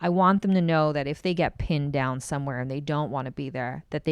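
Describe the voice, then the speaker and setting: Her pitch very deep and low, a woman talks at a fairly quick pace. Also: quiet background. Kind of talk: podcast interview. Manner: loud.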